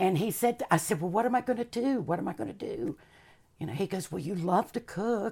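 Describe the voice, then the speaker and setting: Somewhat breathy and dark, mellow in tone, a woman with a Southern US accent speaks at a medium pitch and a fairly quick pace with lively intonation, on a very clean recording with a silent background. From US South, Charlotte, North Carolina. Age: 50s. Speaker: chef and former performer. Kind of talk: casual interview.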